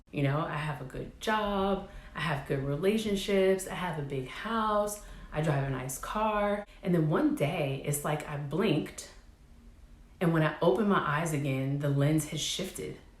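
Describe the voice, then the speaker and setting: A woman speaks in a very deep, low voice at a fairly slow pace, with ordinary pitch variation. The room echo is audible and background noise is noticeable. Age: 30s. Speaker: vlogger, military veteran. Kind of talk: personal vlog monologue.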